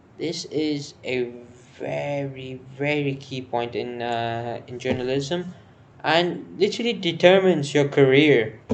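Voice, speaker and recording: A man with an Indian accent speaks very slowly at a fairly high pitch, with ordinary pitch variation. His loudness swings widely, and the room echo is audible. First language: Hindi. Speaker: news explainer vlogger. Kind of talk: informal explainer monologue. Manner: halting, with false starts.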